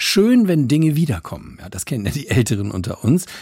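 Very wide pitch swings from a man, on a very clean recording with a silent background. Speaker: radio satire host. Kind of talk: radio satire show with stand-up style monologue. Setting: studio.

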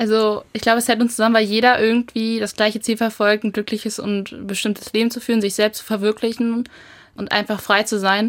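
Fairly quick speech from a woman, fairly high in pitch and monotone, with flat intonation. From Germany, Lower Saxony (rural). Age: young. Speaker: federal volunteer, rural youth association. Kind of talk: radio interview. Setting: studio.

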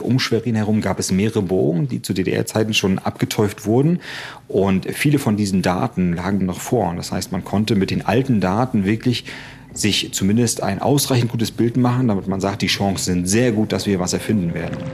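A man talks at a moderate pace in an unremarkable speaking voice. His pitch is fairly low, with ordinary variation. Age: 40s. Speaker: engineer and project manager. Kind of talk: on-site interview during a tour.

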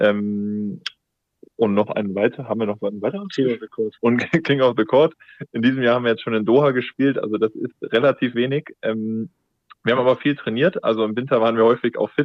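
At a fairly quick pace but with long, frequent pauses, a man speaks at a medium pitch with ordinary pitch variation. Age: 20s. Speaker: beach volleyball player. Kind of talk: interview. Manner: hesitant with many fillers.

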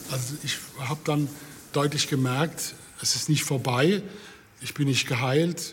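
With long, frequent pauses, a fairly high-pitched man speaks at a fairly slow pace. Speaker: patient and city tour guide. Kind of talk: interview testimony.

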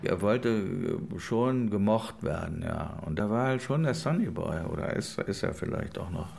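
Lively intonation marks this man's fairly low voice. Room echo is audible around him. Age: 60s. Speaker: film producer. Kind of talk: interview.

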